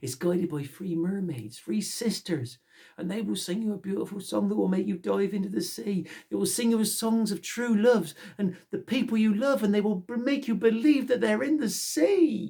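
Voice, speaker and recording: Put-on character voice, middle in pitch, at a moderate speed. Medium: read story. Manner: earnest, polite.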